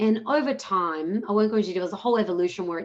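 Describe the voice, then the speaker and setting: Speaking at a very fast pace, a woman with an Australian accent uses lively intonation. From Australia, Melbourne. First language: Punjabi. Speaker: social entrepreneur. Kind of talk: webinar panel talk.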